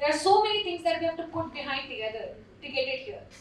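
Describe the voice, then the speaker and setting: A woman talks, and audible room echo hangs on her words. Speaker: panelist. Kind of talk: conference presentation. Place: hall.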